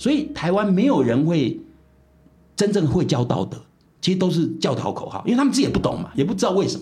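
The tone is dark and mellow, delivered at a very fast pace. Pitch swings very widely. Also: man, high pitch for a man. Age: 70s. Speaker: philosophy professor. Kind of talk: interview.

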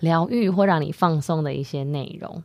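This woman's voice sits fairly low in pitch, with ordinary pitch variation. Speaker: podcast co-host, wellness startup co-founder. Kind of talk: casual chat.

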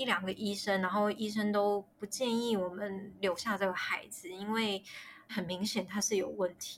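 A woman at a moderate pace, medium in pitch, with monotone, flat intonation. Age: 30s. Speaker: miscarriage story guest. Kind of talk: personal testimony interview. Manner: halting, many fillers.

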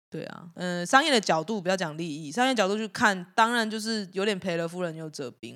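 A woman with ordinary pitch variation on a very clean recording against a silent background. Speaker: band guitarist. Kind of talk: casual chat.

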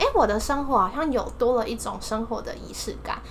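A woman's high-pitched voice at a fairly quick pace, with ordinary pitch variation, audible room echo and noticeable background noise. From Taiwan, Taipei. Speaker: exchange student. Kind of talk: casual chat.

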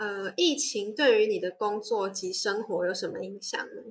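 A woman with a Taiwanese accent, a fairly high pitch and lively intonation. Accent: Taiwanese Mandarin. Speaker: student podcast host. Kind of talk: interview hosting.

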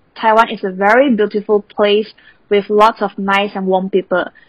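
In a dry, close recording with no echo, a woman with a Chinese accent speaks at a medium pitch and a moderate pace. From Malaysia. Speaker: university student. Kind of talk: interview.

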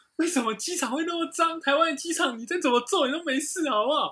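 A raised, projected voice with a Taiwanese accent rushes along at a very fast pace. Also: man. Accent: Taiwanese Mandarin. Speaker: aviation podcast co-host. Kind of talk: casual chat.

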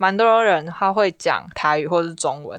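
A woman with a Taiwanese accent speaks with a medium pitch and lively intonation. The background is quiet. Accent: Taiwanese Mandarin. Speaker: university student. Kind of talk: casual chat.

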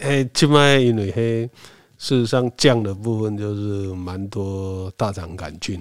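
At a very slow pace, a man speaks with a fairly low pitch, ordinary pitch variation and big swings in loudness. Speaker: community association chairman. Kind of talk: casual interview.

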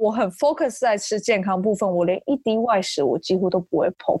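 A woman's fairly high voice, a plain, everyday voice, lively in intonation, dry and close with no echo against a quiet background. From Taiwan, Taichung. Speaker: fitness enthusiast. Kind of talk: interview.

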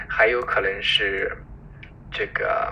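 Noticeable background noise behind a man's very slow speech. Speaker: physician. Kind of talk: interview.

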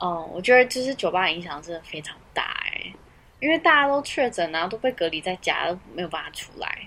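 A woman's medium-pitched voice with very wide pitch swings, big swings in loudness and a fairly quick pace. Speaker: podcast co-host. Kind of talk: casual chat. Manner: soft at the start of the recording.

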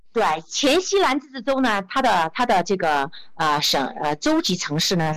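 A woman speaks at a medium pitch and a fairly slow pace. Her pitch swings very widely. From Guizhou, China (Zunyi). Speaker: travel entrepreneur and social media creator. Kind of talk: interview. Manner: hesitant, many fillers.

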